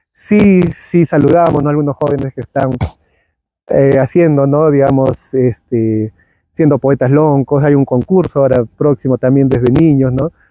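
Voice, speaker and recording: Over music in the background, a man speaks at a fairly slow pace in a fairly high pitch, with fairly even intonation, very even loudness, and a dry, close sound with no echo. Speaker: podcast host. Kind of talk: interview conversation.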